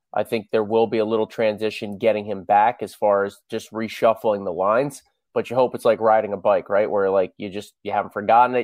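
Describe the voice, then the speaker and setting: This is a plain, everyday voice at a fairly quick pace. The intonation stays fairly even over a quiet background. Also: man. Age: 40s. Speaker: hockey play-by-play announcer. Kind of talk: interview.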